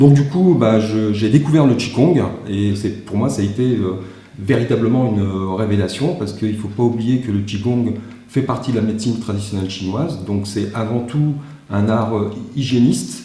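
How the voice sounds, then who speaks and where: A man with a medium pitch talks at a moderate pace with ordinary pitch variation, over noticeable background noise and audible room echo. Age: 60s. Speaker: martial arts teacher. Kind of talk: panel talk. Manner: halting, many fillers and repetitions.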